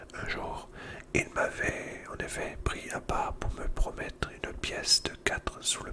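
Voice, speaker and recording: A man whispers over noticeable background noise. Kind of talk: whispered book reading, ASMR. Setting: ASMR recording with crackling fire sound in the background. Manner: whispered, soft.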